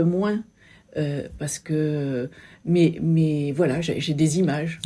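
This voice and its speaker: The pitch of this woman's voice is very deep and low. There is a somewhat breathy quality to it. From Sète, southern France. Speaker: local business owner and photographer. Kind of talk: interview. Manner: halting, many hesitations.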